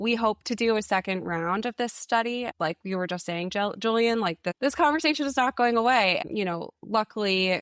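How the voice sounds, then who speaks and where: A woman with an American accent and a normal speaking voice, fairly high in pitch with ordinary pitch variation, at a moderate pace with hardly any pauses, in a dry, close sound with no echo and a quiet background. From New England, Massachusetts. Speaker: education consultant. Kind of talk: podcast interview.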